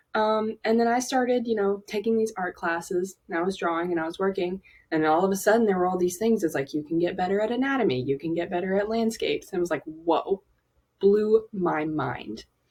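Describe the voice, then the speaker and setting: In a Southern accent, a woman speaks at a medium pitch and a fairly quick pace with ordinary pitch variation. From US South, Alabama. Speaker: aspiring animator. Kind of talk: personal vlog monologue. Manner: casual, many fillers.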